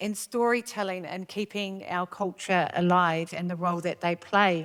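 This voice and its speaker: A woman with a New Zealand accent speaks at a medium pitch and a moderate pace, with fairly even intonation. The recording is very clean, with a silent background. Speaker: panel facilitator. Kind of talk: panel moderation. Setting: stage with audience.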